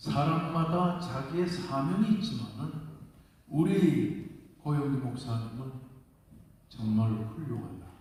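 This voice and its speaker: A man's fairly high, lively voice at a very slow pace, with long, frequent pauses, audible room echo and noticeable background noise. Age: 80s+. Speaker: senior pastor. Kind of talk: congratulatory speech at church assembly. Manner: animated.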